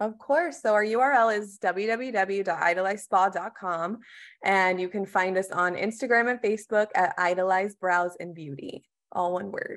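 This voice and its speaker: An ordinary speaking voice from a woman with an American accent, medium pitch and moderate pace, over a quiet background. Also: ordinary pitch variation. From Texas. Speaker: marketing manager. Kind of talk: business interview.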